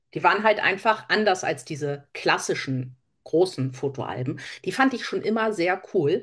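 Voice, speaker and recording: Against a quiet background, a woman with a fairly low pitch speaks at a fairly slow pace with lively intonation. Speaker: crafter, podcast co-host. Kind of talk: casual chat.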